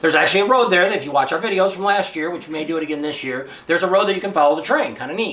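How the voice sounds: A man talks at a very fast pace in a fairly high pitch with a fairly bright tone. His pitch varies in an ordinary way, and audible room echo surrounds him.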